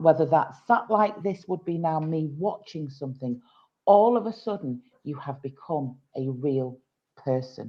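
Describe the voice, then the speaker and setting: With a northern English accent, a woman speaks at a fairly slow pace in a very deep, low pitch with lively intonation. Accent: gruff northern English. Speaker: tutoring business founder. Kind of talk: podcast interview.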